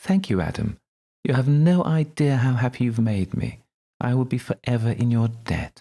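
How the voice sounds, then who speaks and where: A man puts on a character voice with a sing-song lilt. His pitch sits in the middle range, and he talks at a moderate pace. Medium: read story. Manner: eerily cheerful.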